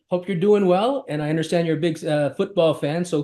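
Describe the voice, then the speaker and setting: This is a man with a Canadian accent. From Canada. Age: 60s. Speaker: collections industry executive. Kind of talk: interview.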